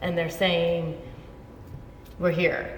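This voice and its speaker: Noticeable background noise can be heard. A woman talks over it. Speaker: interviewer, show host. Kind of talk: casual interview conversation.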